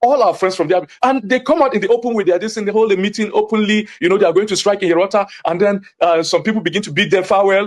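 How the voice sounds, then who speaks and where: A man talks at a very fast pace in a Nigerian accent, high-pitched and animated in tone. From Nigeria, Jos (Plateau State). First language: Hausa. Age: young. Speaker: community witness / activist. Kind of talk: TV interview. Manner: animated, emphatic.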